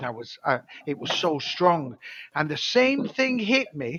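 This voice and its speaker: A man talks at a moderate pace. His speech carries a British accent. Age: 70s. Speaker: former dolphin trainer and author. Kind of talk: casual chat. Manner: halting.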